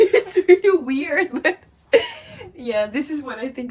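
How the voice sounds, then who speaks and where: A woman speaks with very wide swings in pitch. Noticeable background noise sits behind her. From Russia, Eastern Siberia (Angarsk). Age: 20s. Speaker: model and former tech worker. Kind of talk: interview.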